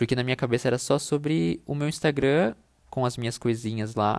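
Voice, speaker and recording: Very fast speech from a man, on a very clean recording against a silent background. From Brazil, interior of São Paulo state (Itu). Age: 20s. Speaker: podcast host, content designer. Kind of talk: casual solo monologue. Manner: hesitant, many fillers.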